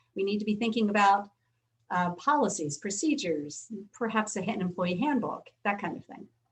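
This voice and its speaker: This woman talks at a fairly quick pace with a somewhat breathy, medium-pitched voice and lively intonation. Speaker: business attorney. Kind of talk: webinar talk with Q&A. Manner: fast.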